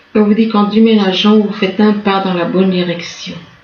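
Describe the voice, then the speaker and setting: With noticeable background noise and audible room echo, a woman talks at a medium pitch in a monotone, flat intonation. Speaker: tarot reader. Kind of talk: tarot reading. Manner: halting.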